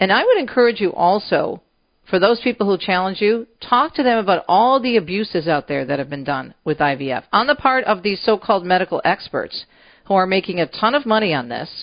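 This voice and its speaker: At a fairly quick pace, a woman speaks at a medium pitch with very wide pitch swings. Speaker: radio host. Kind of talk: radio talk show host interview and news reading. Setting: radio studio. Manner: animated.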